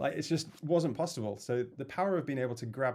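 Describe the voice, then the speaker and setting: Delivered at a very fast pace in a Yorkshire accent. The tone is dark and mellow, with ordinary pitch variation. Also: man. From northern England, Leeds. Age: 30s. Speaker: music producer and label owner. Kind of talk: casual chat.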